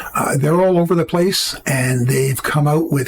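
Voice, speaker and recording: A man with a Canadian accent talks at a moderate pace in a fairly high pitch, with fairly even intonation. Noticeable background noise is present. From Canada. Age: 70s. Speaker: political commentary youtuber. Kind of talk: opinion commentary to camera.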